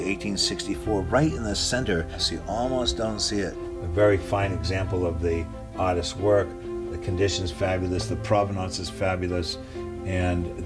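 At a moderate speed, a voice talks through clearly audible background noise. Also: man. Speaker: auctioneer and gallery owner. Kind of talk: auction house presentation of a lot, casual talk to camera. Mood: enthusiastic. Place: shop.

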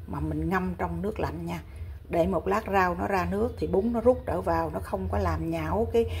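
A woman speaking in a monotone, flat intonation at a moderate pace, with light background noise. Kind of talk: cooking tutorial. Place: kitchen. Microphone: phone near.

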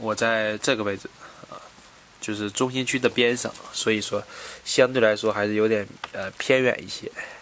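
Against noticeable background noise, a man with a medium pitch speaks at a moderate pace in a monotone, flat intonation, leaving long, frequent pauses. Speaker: travel vlogger. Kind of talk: casual solo vlog narration. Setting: hostel room in Brussels.

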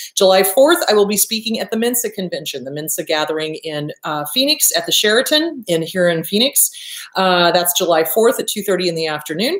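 The speech moves at a fairly quick pace with audible room echo. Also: woman. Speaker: therapist show host. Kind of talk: casual vlog chat. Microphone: webcam.

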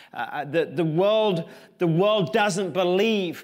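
Against a quiet background, a man talks with an English accent. His pitch is high, with ordinary pitch variation. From England. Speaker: pastor. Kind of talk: sermon. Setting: church. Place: church.

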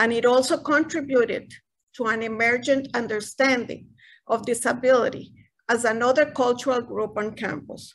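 A woman with a Spanish accent and a high pitch at a moderate pace, with fairly even intonation over a quiet background. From Costa Rica. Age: 60s. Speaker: retired university director. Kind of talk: panel presentation. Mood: formal, appreciative. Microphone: video call.

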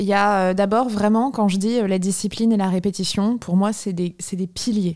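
A woman speaks at a moderate pace with a dark, mellow tone. Her intonation is fairly even, and the background is quiet. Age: 30s. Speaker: philosophy teacher and author; philosophy teacher. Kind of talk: casual chat. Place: home room. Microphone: studio mic.

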